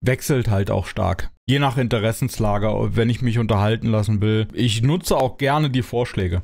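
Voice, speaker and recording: At a moderate pace, a man talks with a medium pitch and ordinary pitch variation. The background is quiet. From Germany. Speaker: gaming YouTuber. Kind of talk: casual Q&A monologue. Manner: hesitant, many filler sounds. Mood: relaxed, cheerful. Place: home room. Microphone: studio mic.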